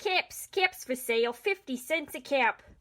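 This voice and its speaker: A woman puts on a character voice, with a high pitch. She speaks at a moderate pace with lively intonation. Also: dry, close sound with no echo. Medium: read story.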